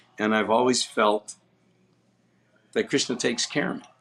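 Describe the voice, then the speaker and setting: This voice has an American accent. It moves along rather quickly. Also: man. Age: 60s. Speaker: book distributor. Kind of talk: podcast interview.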